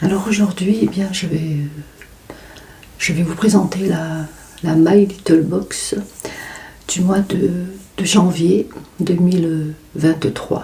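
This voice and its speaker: Soft-spoken and very slow, a woman talks with ordinary pitch variation over noticeable background noise. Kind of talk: ASMR unboxing.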